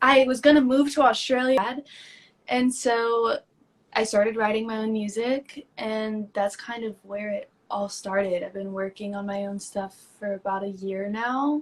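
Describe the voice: At a fairly slow pace, a woman speaks with fairly high pitch and fairly even intonation.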